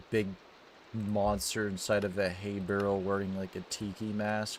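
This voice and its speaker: Speaking at a fairly slow pace, a man with fairly low pitch talks with a slight Maine accent. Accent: subtle Maine. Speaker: gaming streamer. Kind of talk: casual chat. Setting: livestream.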